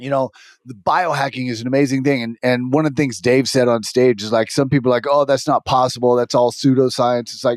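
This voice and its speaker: A man talks at a fairly quick pace. The recording is very clean with a silent background, and the sound is dry and close with no echo. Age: 50s. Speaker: podcast host. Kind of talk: casual conversation. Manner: animated.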